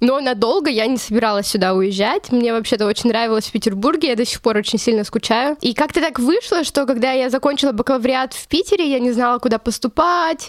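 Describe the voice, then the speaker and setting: A woman's high-pitched voice moves at a fairly quick pace with lively intonation. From Russia, Chelyabinsk. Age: 20s. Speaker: journalism student. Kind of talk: interview.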